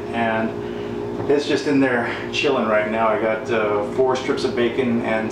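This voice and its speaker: Loud background noise and audible room echo fill the recording. A man talks through it at a moderate pace. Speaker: home cook vlogger. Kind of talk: casual cooking tutorial. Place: kitchen. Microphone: camera far.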